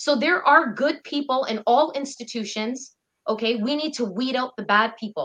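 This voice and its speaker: Bright and sharp in tone, this woman's high voice moves at a moderate pace with ordinary pitch variation. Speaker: activist fundraiser. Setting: video call.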